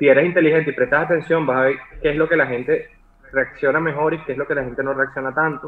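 A man speaking very fast, fairly high-pitched for a man, in a flat monotone. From Venezuela (Maracay). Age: 30s. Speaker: digital artist. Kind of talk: casual chat.

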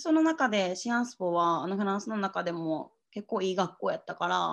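A woman's medium-pitched voice at a fairly quick pace, with lively intonation, over a quiet background. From Japan, Osaka. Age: 20s. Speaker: hostel worker and writer. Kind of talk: casual interview.

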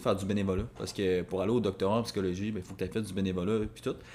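The man's voice is fairly low in pitch. He talks at a very fast pace with fairly even intonation. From Quebec, Rivière-du-Loup. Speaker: podcast co-host. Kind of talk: casual chat.

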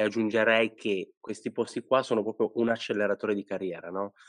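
A man talks in a plain, everyday voice at a fairly quick pace and a medium pitch. The intonation is fairly even, with a dry, close sound and no echo. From Italy, Liguria (Sanremo). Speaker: podcast host, headhunter. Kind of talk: casual interview.

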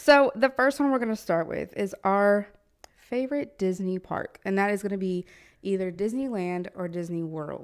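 Lively intonation from a woman of medium pitch at a moderate pace, in a very clean recording with a silent background. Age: 20s. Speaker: podcast co-host. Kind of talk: casual chat. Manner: animated.

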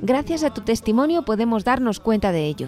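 Over a very clean, silent background, a woman speaks at a fairly high pitch in a dark, mellow tone with lively intonation. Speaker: radio host. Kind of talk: scripted radio narration.

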